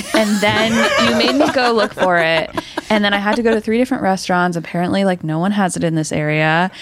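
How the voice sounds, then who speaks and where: Over noticeable background noise, a woman speaks at a very fast pace with very wide pitch swings. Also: medium pitch for a woman, very even loudness. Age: 20s. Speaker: production assistant. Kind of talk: casual chat.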